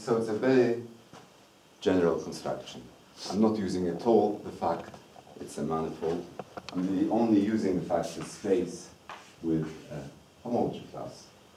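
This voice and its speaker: Here a man speaks at a moderate pace with a fairly low pitch and ordinary pitch variation, leaving long, frequent pauses. His loudness swings widely, and the room echo is audible. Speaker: mathematics lecturer. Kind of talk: lecture.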